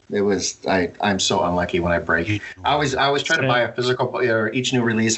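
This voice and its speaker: Over noticeable background noise, a man with an American accent talks at a very fast pace, his fairly low voice showing ordinary pitch variation. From Montana. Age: 50s. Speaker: card collector and detective. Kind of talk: casual chat.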